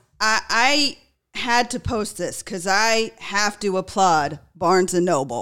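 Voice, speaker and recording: In a very clean recording with a silent background, a woman with an American accent and a plain, everyday voice speaks fairly slowly at medium pitch with lively intonation. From US West Coast, California. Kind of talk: casual chat.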